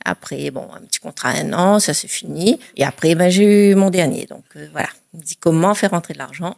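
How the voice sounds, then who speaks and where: In an unremarkable speaking voice, a woman talks at a moderate pace with a fairly low pitch and ordinary pitch variation, her loudness swinging widely in a dry, close recording with no echo. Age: 30s. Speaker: trading student, former pastry chef. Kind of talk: testimony interview. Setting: in front of cameras.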